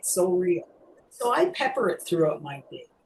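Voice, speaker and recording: Speaking at a moderate pace with a Canadian accent, a woman has a somewhat breathy voice at medium pitch. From Canada. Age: 60s. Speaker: mime teacher with Parkinson's. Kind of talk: webinar Q&A talk. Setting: video call webinar.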